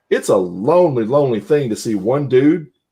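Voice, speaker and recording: Speaking with an American accent, a man lets his intonation rise and fall in a lively way. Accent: Southern US accent that comes and goes. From Southwest Louisiana. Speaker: podcast co-host. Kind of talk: casual chat.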